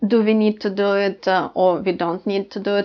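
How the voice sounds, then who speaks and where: With a Ukrainian accent, a woman speaks at a moderate pace and medium pitch, keeping her intonation fairly even. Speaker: language teacher. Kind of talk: tutorial. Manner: halting, many fillers.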